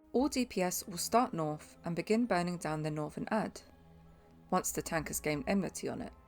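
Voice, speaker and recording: Over music in the background, a woman with a fairly low pitch speaks with lively intonation. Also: fairly quick pace. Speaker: game guide narrator. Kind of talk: game tutorial voice-over.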